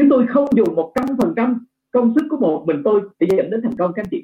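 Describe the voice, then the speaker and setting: A man speaks at an extremely high pitch and a moderate pace. His voice makes very wide pitch swings. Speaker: business trainer. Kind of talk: business training webinar. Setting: online video webinar with slides.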